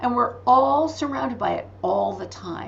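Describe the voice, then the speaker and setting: Audible room echo hangs around the voice. A woman talks at a fairly slow pace. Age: 60s. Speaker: spiritual author and teacher. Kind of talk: podcast interview. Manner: animated.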